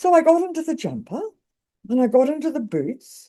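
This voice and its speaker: Dark, mellow tone from a woman, at a moderate pace. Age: 80s+. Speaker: storyteller, author, adventurer. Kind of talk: interview answer.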